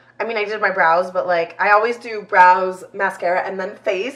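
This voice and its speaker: A woman speaks at a medium pitch and a moderate pace. Background noise is noticeable. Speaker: lifestyle YouTuber. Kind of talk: chatty get-ready-with-me vlog. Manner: casual, filler-heavy.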